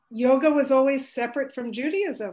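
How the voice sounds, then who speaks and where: A woman with an American accent has an ordinary speaking voice. She speaks at a moderate pace with ordinary pitch variation. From US. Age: 60s. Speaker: energy healer and author. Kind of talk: interview.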